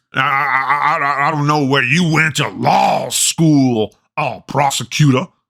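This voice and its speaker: Putting on a cartoonish character voice, a man talks at fairly high pitch and a fairly slow pace with fairly even intonation. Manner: rambling, stammering, folksy.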